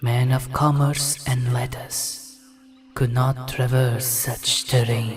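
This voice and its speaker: Faint music plays in the background as a man speaks at a very slow pace. His medium-pitched voice has monotone, flat intonation. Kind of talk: dramatic epic narration. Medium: machinima. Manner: grave, archaic inverted phrasing.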